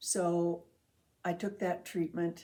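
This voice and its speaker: With a dark, mellow tone and fairly low pitch, a woman speaks at a very slow pace. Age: 80s+. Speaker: cancer survivor. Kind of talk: testimony. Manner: halting.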